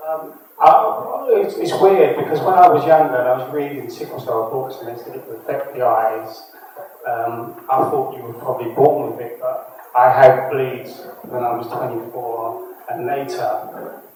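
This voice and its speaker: A man talks at a fairly slow pace with big swings in loudness, and noticeable background noise runs throughout. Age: 50s. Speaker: sickle cell patient. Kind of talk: panel discussion.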